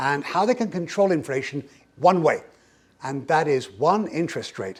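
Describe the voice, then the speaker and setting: The speaker has an English accent. The tone is animated, with lively intonation. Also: man. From England. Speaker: economist, keynote speaker. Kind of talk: keynote presentation. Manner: fast.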